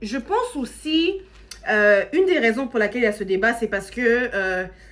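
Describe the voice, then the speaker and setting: A woman speaks slowly-ish in an animated tone, her high pitch making very wide swings. Noticeable background noise runs behind her fairly slow delivery. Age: 30s. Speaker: social media content creator. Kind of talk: casual motivational talk to camera. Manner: animated, conversational.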